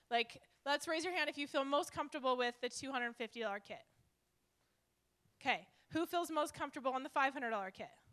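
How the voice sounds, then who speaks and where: A loud woman's high, bright, sharp voice at a very fast pace, with ordinary pitch variation and long, frequent pauses. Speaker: network marketing leader. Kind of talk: live seminar presentation. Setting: stage with live audience. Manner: animated.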